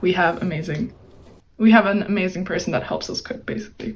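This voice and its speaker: A woman talks at a fairly quick pace with a medium pitch. Vocal fry runs through her speech. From Turkey. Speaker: college student. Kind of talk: interview.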